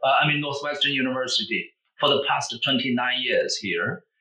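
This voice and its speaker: With a Chinese accent, a man speaks at a fairly high pitch with ordinary pitch variation. His tone is bright and sharp. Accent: Mandarin Chinese accent in English. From Beijing, China. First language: Mandarin Chinese. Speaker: language professor. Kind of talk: interview.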